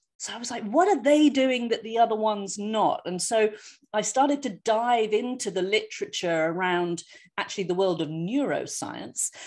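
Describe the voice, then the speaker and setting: A woman with a London accent talks at a fairly high pitch and a moderate pace. Her intonation is lively, and the background is quiet. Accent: British (London). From London, England. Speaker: osteopath and former professional singer. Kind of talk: lecture.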